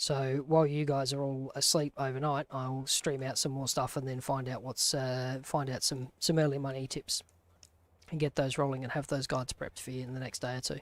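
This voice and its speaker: With an Australian accent, a man speaks at a medium pitch in a monotone, flat intonation. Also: fairly quick pace, very clean recording, silent background. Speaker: gaming streamer. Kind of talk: live gameplay stream commentary. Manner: casual, conversational.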